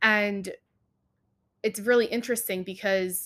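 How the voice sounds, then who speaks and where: Recorded very cleanly against a silent background, a woman speaks at a moderate pace in a fairly high voice. Her tone is bright and sharp, with fairly even intonation. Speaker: podcast host and coach for female athletes. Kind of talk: solo podcast monologue.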